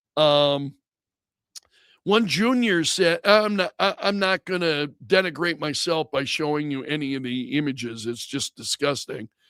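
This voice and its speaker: A fairly high-pitched man with lively intonation comes through dry and close with no echo on a very clean recording with a silent background. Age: 60s. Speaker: radio talk show host. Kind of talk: talk radio monologue. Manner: halting.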